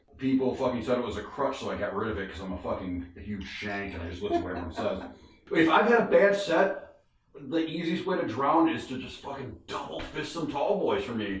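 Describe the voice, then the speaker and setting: A man with an American accent talks at a fairly quick pace, with very wide pitch swings and big swings in loudness. Audible room echo and noticeable background noise fill the recording. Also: medium pitch for a man. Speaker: stand-up comedian. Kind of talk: casual chat. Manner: fast. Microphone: poor sound quality.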